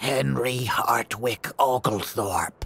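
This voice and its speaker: A man uses a put-on character voice that is raspy. His pitch sits in the medium range. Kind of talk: formal, genteel.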